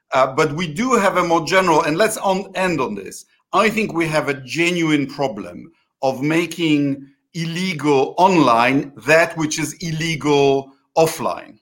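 With a Polish accent, a man talks at a fairly slow pace in a fairly high pitch. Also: ordinary pitch variation. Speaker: interviewer of an online political show. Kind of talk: political interview. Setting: video call.

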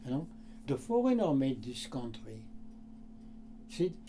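A man speaks with a dark, mellow tone. His pitch makes very wide swings. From France. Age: 80s+. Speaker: shoe repairman. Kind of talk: casual interview conversation. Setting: in his shoe repair shop. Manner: halting; animated.

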